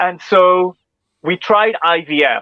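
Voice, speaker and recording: A man speaks with a Northern Irish accent. His voice is high-pitched. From Northern Ireland. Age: 40s. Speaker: speech and language therapist. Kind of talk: interview answer.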